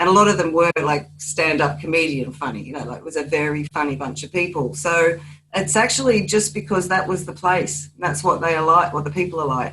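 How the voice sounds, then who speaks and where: A woman with an Australian accent talks at a fairly quick pace with hardly any pauses, her very deep, low pitch showing ordinary variation. Her loudness swings widely, and noticeable background noise runs beneath. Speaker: crime novelist. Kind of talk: panel discussion.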